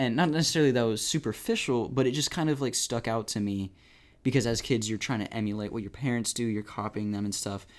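The speaker has an American accent and talks at a very fast pace. The recording is very clean, with a silent background. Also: man. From Ohio, US Midwest. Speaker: podcast host. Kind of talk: casual chat. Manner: animated, bubbly.

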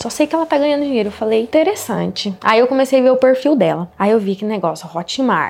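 Over noticeable background noise, a woman talks very fast with hardly any pauses. Her fairly high voice has lively intonation. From Paraná, Brazil (Altônia, interior). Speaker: digital marketing entrepreneur. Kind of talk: casual interview.

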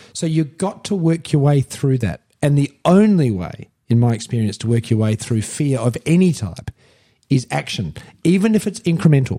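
A man with an Australian accent speaks at a moderate pace in a fairly high pitch, his tone dark and mellow. The sound is dry and close with no echo, and his pitch swings very widely. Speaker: podcast host, entrepreneur and former mayor. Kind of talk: casual self-help chat. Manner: emphatic, passionate.

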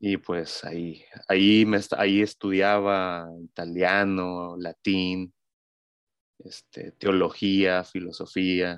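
Against a quiet background, a man speaks at a very slow pace with a very deep, low pitch. His intonation is monotone and flat, and the sound is dry and close with no echo. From Mexico City. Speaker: digital marketing agency co-founder. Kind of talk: casual chat.

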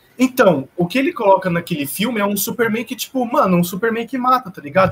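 Noticeable background noise runs under a man talking at a very fast pace with lively intonation. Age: young. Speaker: podcast co-host. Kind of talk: casual chat.

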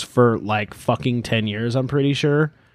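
A man speaks in an animated tone at a moderate pace with ordinary pitch variation. The sound is dry and close, with no echo. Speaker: podcast host. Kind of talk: casual banter, music review podcast. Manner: animated, joking.

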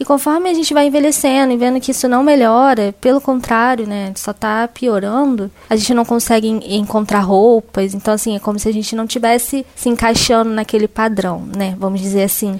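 At a fairly quick pace, a normal speaking voice is heard. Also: woman, fairly high pitch for a woman, ordinary pitch variation, hardly any pauses. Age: 20s. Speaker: journalist. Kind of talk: testimony.

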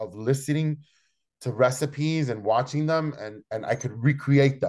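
This man's voice sits at a medium pitch and rises and falls in an ordinary way. Nothing much is heard behind him. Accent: Spanish. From Chicago, Logan Square area. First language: Spanish. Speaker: chef and restaurant owner. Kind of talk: interview. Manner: halting, many repetitions.

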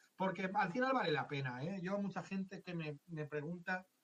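A man uses an ordinary speaking voice and keeps to a moderate pace. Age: 50s. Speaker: tax adviser. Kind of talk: interview.

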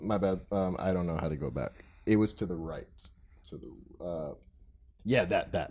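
A man speaks in a very deep, low pitch with vocal fry. He keeps a moderate pace, broken by long, frequent pauses. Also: ordinary pitch variation. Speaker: podcast host. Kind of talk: casual chat. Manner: stutter.

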